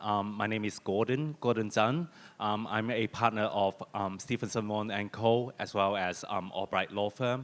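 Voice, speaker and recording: A man with a slight Australian accent speaks at a moderate pace in a fairly low voice, with fairly even intonation and hardly any pauses. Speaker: lawyer. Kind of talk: panel self-introduction. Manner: hesitant, many fillers.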